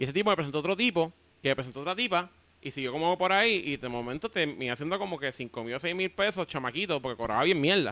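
A man with a Puerto Rican accent talks at a very fast pace in a fairly high pitch. His tone is bright and sharp, and his intonation is lively. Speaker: comedian and web video creator. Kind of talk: casual chat.

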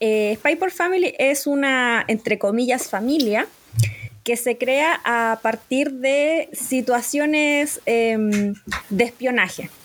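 Speaking very slowly at a very even loudness, a woman uses a high pitch with ordinary pitch variation. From Chile. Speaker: podcast host. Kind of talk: casual chat.

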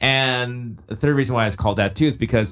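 A man talking at a fairly quick pace. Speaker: musician. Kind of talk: casual interview chat.

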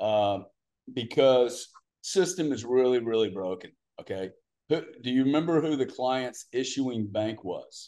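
The man has a dark, mellow tone. His pace is fairly slow. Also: medium pitch for a man, lively intonation. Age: 60s. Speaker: business investor and entrepreneur. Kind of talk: casual interview chat. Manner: talkative, informal.

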